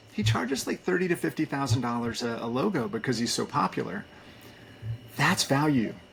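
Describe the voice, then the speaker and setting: Loud and at a fairly quick pace, a man talks in a medium pitch with very wide pitch swings. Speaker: agency community leader, former agency owner. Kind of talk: podcast interview. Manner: energetic.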